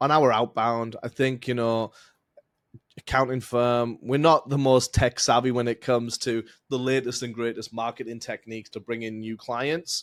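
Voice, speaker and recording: In a dry, close recording with no echo, a man of medium pitch speaks with an English accent in a flat, monotone delivery. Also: moderate pace. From England. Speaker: accounting firm founder, tax strategist. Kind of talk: podcast interview.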